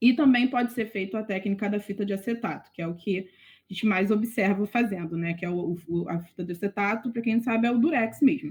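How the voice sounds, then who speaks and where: Against a quiet background, a woman speaks at a medium pitch and a moderate pace, with ordinary pitch variation. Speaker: veterinary student tutor. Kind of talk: online tutoring lecture.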